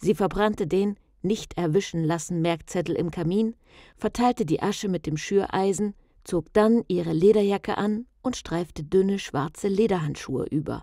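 Her voice sits at a medium pitch, with a dark, mellow tone and ordinary pitch variation, moving at a moderate pace. The sound is dry and close with no echo, and the recording is very clean, with a silent background. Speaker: audiobook narrator. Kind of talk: tense horror thriller narration, read aloud like a ghost story.

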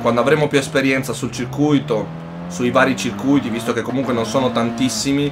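A man talks at a fairly quick pace in an animated tone, with ordinary pitch variation. Noticeable background noise is present. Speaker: gaming youtuber. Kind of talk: live gaming commentary, casual. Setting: home recording, gameplay voiceover. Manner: excitable, animated, shouting tense race commentary. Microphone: headset.

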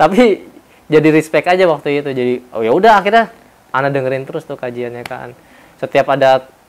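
A man's fairly high voice rattles along at a very fast pace. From Indonesia. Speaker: former religious school teacher; interviewee, former boarding school teacher. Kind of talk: personal testimony. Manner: casual conversational. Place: home room. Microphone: lapel.

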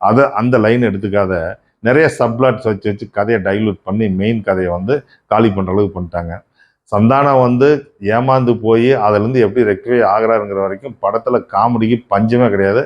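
With ordinary pitch variation and a medium pitch, a man speaks in an ordinary speaking voice. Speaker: film reviewer. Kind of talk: movie review monologue.

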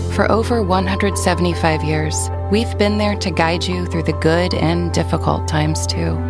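Clear music in the background, hardly any pauses, and a dry sound with no echo. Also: moderate pace. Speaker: voice actor. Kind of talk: TV commercial read. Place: booth.

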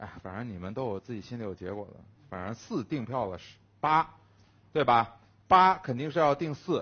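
At a moderate pace, a man speaks in an animated tone with very wide pitch swings, big swings in loudness and long, frequent pauses. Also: medium pitch for a man. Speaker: werewolf game player. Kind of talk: casual game banter. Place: studio. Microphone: headset.

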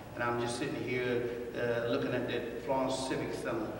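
A man is speaking with noticeable background noise. Strong room echo surrounds his voice. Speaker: guest. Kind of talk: interview answer. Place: studio.

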